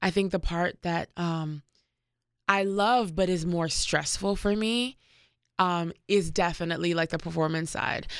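A woman's fairly low-pitched, fairly slow delivery with fairly even intonation, an ordinary speaking voice, an American accent, and a very clean recording over a silent background. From Washington, D.C. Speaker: musician. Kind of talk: interview.

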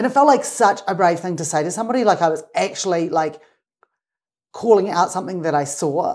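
In a New Zealand accent, a woman talks at a fairly quick pace. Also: medium pitch for a woman, lively intonation. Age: 50s. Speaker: mountain guide. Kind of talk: casual interview conversation.

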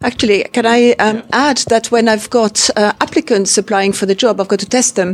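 In an ordinary speaking voice, a woman with a fairly high pitch talks at a moderate pace with very even loudness, hardly any pauses and fairly even intonation, in a dry, close sound with no echo. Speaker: interpreting course lecturer. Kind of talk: welcome speech. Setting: university interpreting suite with audience.

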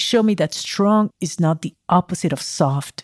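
In a very clean recording with a silent background and a dry, close sound with no echo, a woman uses a normal speaking voice at a fairly slow pace with ordinary pitch variation. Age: 40s. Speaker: mountaineer and author. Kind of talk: first-person storytelling narration.

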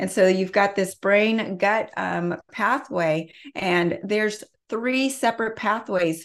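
A woman's normal speaking voice at medium pitch and a fairly slow pace, with ordinary pitch variation, on a very clean recording with a silent background. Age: 40s. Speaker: health expert. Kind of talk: interview.

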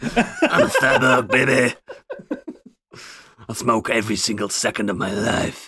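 Using a put-on character voice, a raspy-sounding man talks at a moderate pace and medium pitch, with long, frequent pauses. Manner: bad, overacted.

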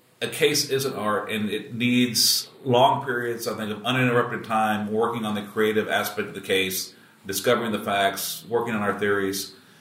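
Noticeable background noise and audible room echo surround a man who talks at a moderate pace with a fairly low pitch, fairly even intonation and hardly any pauses. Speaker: trial lawyer podcast host. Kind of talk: casual chat. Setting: room at a conference.

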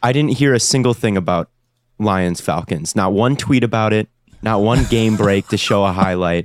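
A man with a normal speaking voice talks at a moderate pace, his loudness very even and his pitch variation ordinary, in a dry, close sound with no echo. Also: fairly low pitch for a man. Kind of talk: casual sports betting chat.

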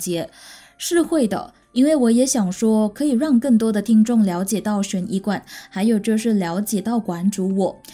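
A woman's fairly high-pitched, somewhat breathy voice with a dark, mellow tone comes through on a very clean recording with a silent background. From Malaysia. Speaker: podcast host. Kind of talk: true-crime storytelling narration; casual chat to listeners. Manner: friendly, chatty.

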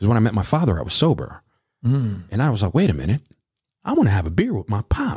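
A man with an American accent talks at a very fast pace in a medium pitch, his dark, mellow tone somewhat breathy and swinging very widely in pitch, captured in a dry, close sound with no echo. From Reading, Pennsylvania. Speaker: DJ and voiceover artist. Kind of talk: life story interview. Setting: studio.

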